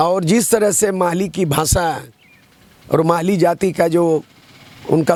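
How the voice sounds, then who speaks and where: Ordinary pitch variation in a Jharkhand accent. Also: man. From Jharkhand, East Singhbhum near Odisha border. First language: Santali (speaking Hindi). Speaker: politician and poet. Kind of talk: interview.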